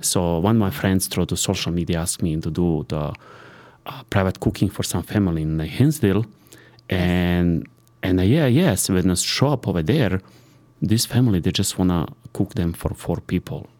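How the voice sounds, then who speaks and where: A man with a Serbian accent speaks at a moderate pace. His voice is very deep and low, with a dark, mellow tone. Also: ordinary pitch variation. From Serbia (born in Sarajevo, Bosnia). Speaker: private chef. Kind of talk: casual interview. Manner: halting.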